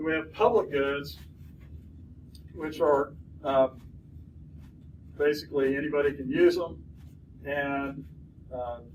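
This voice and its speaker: Over noticeable background noise and audible room echo, a man speaks fairly slowly, with long, frequent pauses. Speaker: college lecturer. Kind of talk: lecture. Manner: halting, many fillers and restarts.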